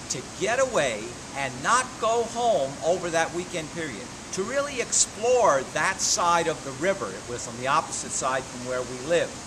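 This man's pitch rises and falls in very wide swings, with noticeable noise behind him. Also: moderate pace. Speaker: motivational speaker. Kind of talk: casual vlog chat. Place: street. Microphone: phone near.

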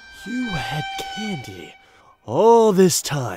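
A put-on character voice at a middle pitch. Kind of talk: comic dub. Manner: sarcastic, outraged.

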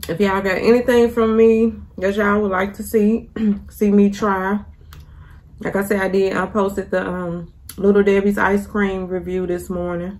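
With fairly even intonation, a woman speaks at a fairly slow pace, leaving long, frequent pauses. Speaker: vlogger. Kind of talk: casual vlog chat while eating. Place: kitchen. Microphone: phone near.

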